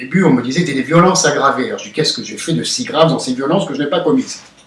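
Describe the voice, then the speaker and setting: A man talks in a high pitch. His pitch swings very widely. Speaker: nationalist activist interviewed after police custody. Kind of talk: interview. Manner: loud.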